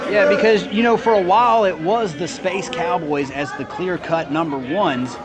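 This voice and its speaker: A man's high-pitched voice with lively intonation, moderate pace and hardly any pauses, against crowd noise in the background. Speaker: wrestling commentator. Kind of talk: live sports commentary.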